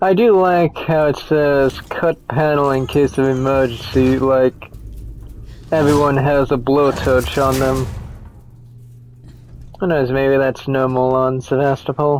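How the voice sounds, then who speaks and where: The speech moves at a fairly slow pace with long, frequent pauses. Noticeable background noise runs under it. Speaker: gaming commentator. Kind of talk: let's play commentary. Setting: home microphone. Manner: casual.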